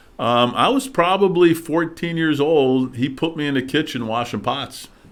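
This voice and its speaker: This man talks with a Midwestern US accent at a moderate pace. His pitch is fairly high, with ordinary variation. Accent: US Midwest. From Detroit suburbs, Michigan. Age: 60s. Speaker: political candidate. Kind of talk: interview. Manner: hesitant with many fillers.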